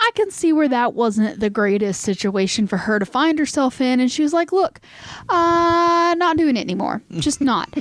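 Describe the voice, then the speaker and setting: Speaking in a Southern US accent at a moderate pace, a woman uses a high pitch that swings very widely. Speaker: podcast host. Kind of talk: casual storytelling chat. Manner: hesitant, many fillers.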